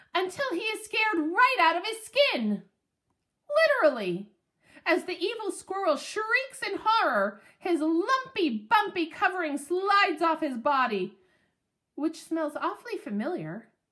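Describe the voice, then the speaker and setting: The pitch sits extremely high. It's a put-on character voice. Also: moderate pace. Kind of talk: children's book read-aloud. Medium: read story. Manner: lively, expressive.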